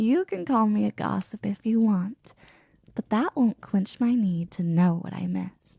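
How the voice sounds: Using a put-on character voice, a woman at medium pitch speaks fairly slowly with lively intonation, a dark, mellow tone, a slightly husky edge and vocal fry. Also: dry, close sound with no echo.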